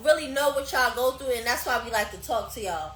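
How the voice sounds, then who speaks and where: The speaker uses a raised, projected voice with lively intonation, amid noticeable background noise and audible room echo. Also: woman. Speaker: podcast host. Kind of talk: casual chat. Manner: loud; animated.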